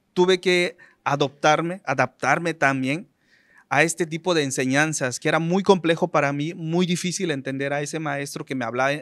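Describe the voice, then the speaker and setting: In a Yucatán accent, a man with a fairly high pitch speaks at a moderate pace with fairly even intonation on a very clean recording with a silent background. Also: dry, close sound with no echo. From Maya community, Yucatán Peninsula, Mexico. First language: Yucatec Maya (speaking Spanish). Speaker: radio announcer. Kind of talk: interview. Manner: halting.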